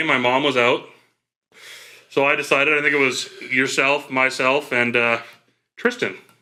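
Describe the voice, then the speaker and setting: With long, frequent pauses, a man speaks at a fairly high pitch in a bright, sharp tone, his loudness very even. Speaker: podcast co-host. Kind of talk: casual chat.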